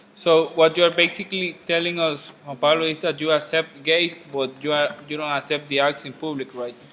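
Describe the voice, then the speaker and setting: There is noticeable background noise. Over it, a man talks in a monotone, flat way. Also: fairly high pitch for a man, moderate pace. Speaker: student. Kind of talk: class discussion in English. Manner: halting.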